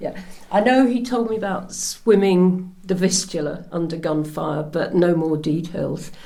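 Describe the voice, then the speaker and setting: Her voice sits at a medium pitch with ordinary variation. The woman speaks at a fairly slow pace amid audible room echo. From Norfolk, England. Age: 70s. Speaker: interviewee, daughter of Polish soldier. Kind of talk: oral history interview. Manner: hesitant.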